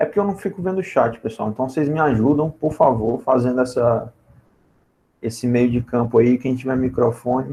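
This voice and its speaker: The delivery is somewhat breathy and dark and mellow in tone, with big swings in loudness and ordinary pitch variation. It moves at a moderate pace with long, frequent pauses. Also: man. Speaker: physics teacher. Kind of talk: online lecture.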